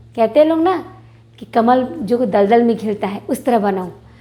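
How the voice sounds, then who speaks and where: Lively intonation from a woman amid noticeable background noise. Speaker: teacher. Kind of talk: tutorial. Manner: slow, repetitive spelling out.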